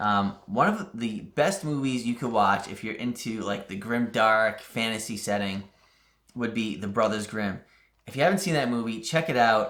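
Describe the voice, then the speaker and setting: Here a man speaks with a New England accent at a medium pitch. His pace is moderate. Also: ordinary pitch variation. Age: 40s. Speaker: crafting YouTuber. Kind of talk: casual Q&A monologue. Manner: casual with frequent fillers.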